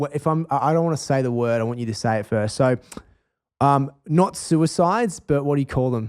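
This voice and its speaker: A man speaks with an Australian accent. His tone is animated, with ordinary pitch variation. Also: fairly high pitch for a man, fairly quick pace. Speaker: chef and nutrition author. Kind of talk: podcast interview conversation.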